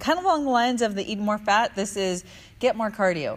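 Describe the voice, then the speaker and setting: Her intonation is lively. This woman speaks with a fairly high pitch. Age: 40s. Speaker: fitness trainer. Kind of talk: fitness tips video. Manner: animated, laughing often.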